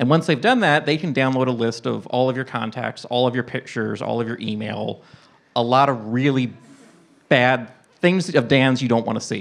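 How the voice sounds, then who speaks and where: A man's plain, everyday voice at a medium pitch, with ordinary pitch variation and a moderate pace. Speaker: podcast guest. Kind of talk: casual chat. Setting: stage with audience. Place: stage. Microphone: handheld.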